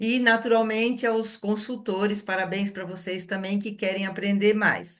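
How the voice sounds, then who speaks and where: A woman speaks at a medium pitch in a monotone, flat intonation. Her pace is fairly slow, with hardly any pauses. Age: 60s. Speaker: wellness product consultant hosting a live session. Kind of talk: live webinar introduction.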